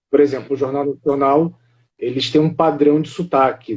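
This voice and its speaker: A man speaks in a Carioca accent. His pitch is fairly high. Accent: carioca Brazilian Portuguese. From Rio de Janeiro, Brazil. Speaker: live stream host of a monarchist channel. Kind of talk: casual live stream chat.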